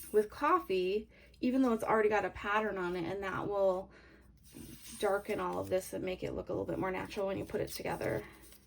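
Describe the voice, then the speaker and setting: Speech at a very fast pace comes with noticeable background noise. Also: woman. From Canada. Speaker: craft tutorial creator. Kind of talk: tutorial. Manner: casual, hesitant with fillers.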